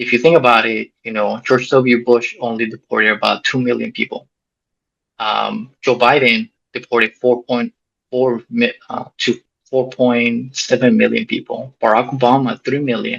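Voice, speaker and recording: A man's moderate-speed speech, dry and close with no echo. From Mexico, raised in US. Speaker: soldier and former missionary. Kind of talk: interview testimony.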